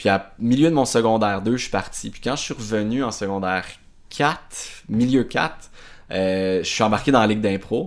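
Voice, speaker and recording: The recording is very clean, with a silent background. A man with an ordinary speaking voice talks at a moderate pace, fairly low in pitch with ordinary pitch variation. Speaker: stage actor. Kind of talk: casual interview.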